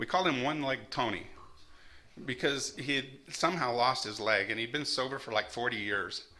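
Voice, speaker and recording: A man's medium-pitched voice, bright and sharp in tone, with an American accent. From Arizona. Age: 60s. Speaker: recovery meeting speaker. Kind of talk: testimony.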